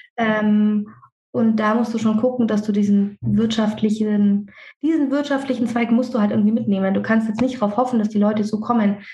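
A somewhat breathy, dark and mellow tone in a monotone, flat delivery at very even loudness. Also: woman, fairly high pitch for a woman, moderate pace. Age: 30s. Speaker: dentist and practice owner. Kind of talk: casual interview. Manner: talkative, hesitant with fillers.

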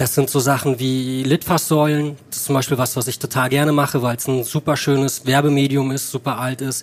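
Here is a plain, everyday voice at a moderate pace. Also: man. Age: 30s. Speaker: advertising creative on a podcast date. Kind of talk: casual chat.

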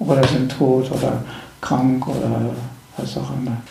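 Speech comes at a fairly slow pace with audible room echo and noticeable background noise. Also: man. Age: 60s. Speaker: spiritual teacher and end-of-life companion. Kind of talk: interview. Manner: halting, repeating words.

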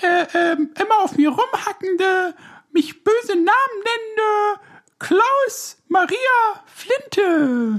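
This is a put-on character voice. It is extremely high in pitch. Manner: playful, storytelling.

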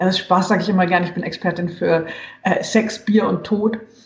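The delivery comes at a fairly quick pace with fairly even intonation. Noticeable background noise sits behind it. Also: woman. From western Germany (Hesse, Saarland). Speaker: journalist and author. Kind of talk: casual interview. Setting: video call.

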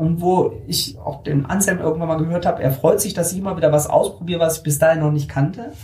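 Speaking at a fairly quick pace, the man has a high-pitched voice. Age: 50s. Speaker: self-employed publishing technology consultant. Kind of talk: interview. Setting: recorded on a hiking trip.

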